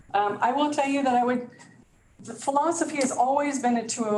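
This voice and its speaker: Speaking at a fairly quick clip, this woman is heard through audible room echo, with noticeable noise in the background. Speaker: community resource and training specialist. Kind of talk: presentation at a provider meeting. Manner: fast.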